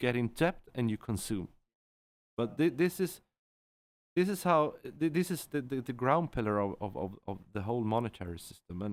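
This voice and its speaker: With a medium pitch, a man talks at a moderate pace, his pitch swinging very widely. He takes long, frequent pauses. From central Sweden. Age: 40s. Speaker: entrepreneur and trader. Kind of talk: casual interview chat. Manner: halting, many repeated words.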